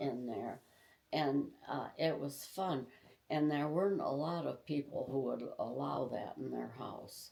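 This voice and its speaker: At a fairly slow pace, a woman talks with a Midwestern American accent. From Tecumseh, Michigan. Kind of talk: interview answer.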